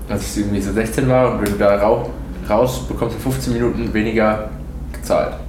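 A man talks at a fairly quick pace, his voice carrying audible room echo over noticeable background noise. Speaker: podcast host. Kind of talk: casual chat. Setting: at a friend's home over breakfast. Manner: fast, hesitant.

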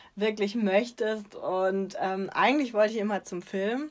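A woman's plain, everyday voice at a medium pitch, at a moderate pace. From southwestern Germany, Freiburg im Breisgau. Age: 30s. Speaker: children's book author. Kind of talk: interview.

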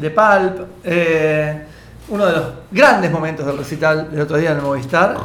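Noticeable background noise runs under speech held at a moderate pace. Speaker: radio podcast co-host. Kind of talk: casual chat.

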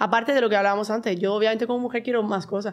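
In a very clean recording with a silent background, a woman talks very fast at a fairly high pitch. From Spain, Murcia. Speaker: mom influencer. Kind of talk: casual chat.

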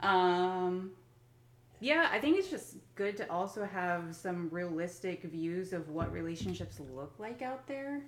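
A woman's medium-pitched voice with lively intonation at a fairly slow pace, with audible room echo. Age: 30s. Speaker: podcast host and business owner. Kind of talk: casual chat. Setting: at home.

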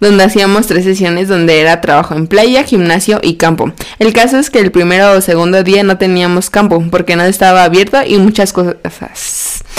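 Delivered at a moderate pace with hardly any pauses, this voice carries a Mexican accent, ordinary pitch variation and very even loudness over noticeable background noise. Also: woman, medium pitch for a woman. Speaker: podcast co-host. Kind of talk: casual chat.

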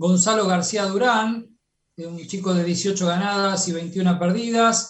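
A man speaks at a high pitch. His intonation stays fairly even. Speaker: radio host. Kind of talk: radio interview.

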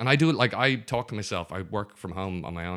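Very deep and low in pitch, a man talks very fast with a Dublin accent and a bright, sharp tone. The recording is very clean with a silent background. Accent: Dublin Irish. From Dublin, Ireland. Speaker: improv comedian. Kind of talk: casual chat.

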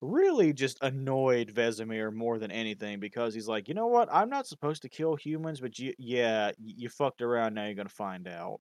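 With an ordinary speaking voice, the speaker moves at a fairly quick pace with ordinary pitch variation, the sound dry and close with no echo against a quiet background. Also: man. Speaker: podcast host reading a lore summary. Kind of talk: casual chat, reading lore aloud.

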